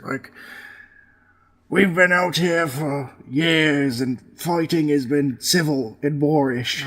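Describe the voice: A man puts on a character voice, fairly high in pitch and very slow in pace.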